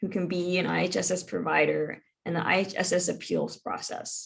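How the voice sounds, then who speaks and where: A woman with vocal fry speaks in a medium pitch. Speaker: legal advocate giving a workshop. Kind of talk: informational presentation.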